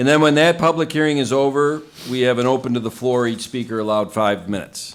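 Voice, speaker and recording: The intonation is lively from a man with a medium-pitched voice. He keeps a moderate pace. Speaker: town supervisor chairing meeting. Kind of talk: meeting chairing. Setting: town board meeting.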